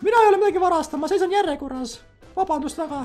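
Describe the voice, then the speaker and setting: A put-on character voice with faint music in the background. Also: man, extremely high pitch for a man. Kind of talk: put-on female character voice, comic roleplay. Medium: game stream. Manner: indignant, loud, offended and pushy; sweet-talking and flirtatious when begging for money.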